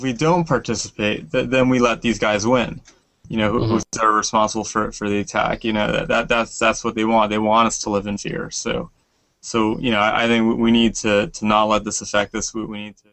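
This man's voice sits at a medium pitch and keeps a fairly even intonation. He talks at a fairly quick pace. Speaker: amateur triathlete and marathon runner. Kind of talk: news interview, eyewitness reaction. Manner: halting, full of repetitions and false starts; emotional, searching for words.

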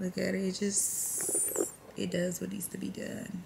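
The delivery is at a fairly slow pace, with noticeable background noise throughout. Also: woman. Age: 20s. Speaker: vlogger. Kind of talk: casual vlog talk. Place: home room. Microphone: phone near.

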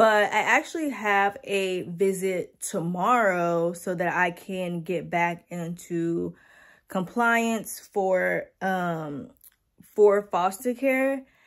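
A woman talks at a very slow pace. Her pitch variation is ordinary. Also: quiet background. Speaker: foster parent vlogger. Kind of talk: casual vlog chat. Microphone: phone near.

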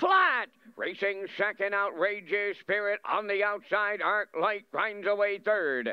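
A man speaks very slowly in a high voice. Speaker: race caller. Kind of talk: live commentary.

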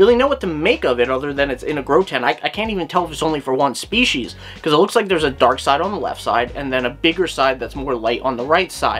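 Hardly pausing at all, a man rattles along at a very fast pace with lively intonation. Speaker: reptile channel host. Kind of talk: commentary. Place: home room. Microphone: webcam.

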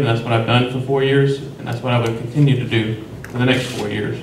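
A man speaks at a medium pitch in a monotone, flat way, fairly quickly. There is audible room echo and light background noise. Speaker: city commissioner running for reelection. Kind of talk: candidate forum debate. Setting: stage with audience. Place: meeting room. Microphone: camera far.

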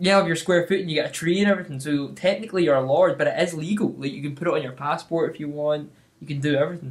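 Talking at a very fast pace in a Scottish accent, the speaker shows ordinary pitch variation and big swings in loudness. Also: man. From Scotland. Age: 20s. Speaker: actor. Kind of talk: casual podcast conversation. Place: home room.

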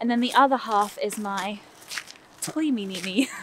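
With a London accent, a woman speaks with ordinary pitch variation in a dry sound with no echo, amid noticeable background noise. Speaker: music producer, singing teacher, voiceover artist. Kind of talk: casual interview while walking. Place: waterside. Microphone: phone near.

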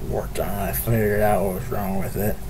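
The voice belongs to a man. Light background noise can be heard. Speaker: vlogger. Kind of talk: casual vlog chat. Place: home room. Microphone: earbuds.

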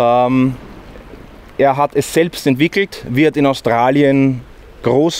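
Here a man speaks at a very slow pace with fairly even intonation. The sound is dry with no echo. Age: 40s. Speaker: van builder. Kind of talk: product walkthrough. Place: street.

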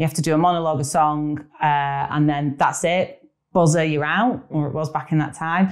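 A woman's very deep, low voice in a Lancashire accent, at a moderate pace with fairly even intonation over a quiet background. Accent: northern English (Lancashire). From northern England. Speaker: actress, writer and film director. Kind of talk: casual interview. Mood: warm, laughing at times. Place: home room. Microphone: lapel.

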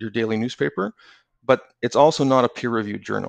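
With a Canadian accent and an ordinary speaking voice, a man talks at medium pitch and with fairly even intonation, his dry, close sound carrying no echo over a quiet background. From Canada. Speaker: magazine editor. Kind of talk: casual interview conversation.

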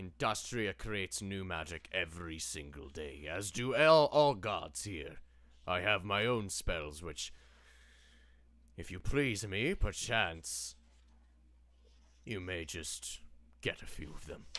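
Putting on a character voice, a man talks at a very deep, low pitch and a fairly slow pace with long, frequent pauses, in a very clean recording with a silent background. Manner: grand, wry, slightly archaic.

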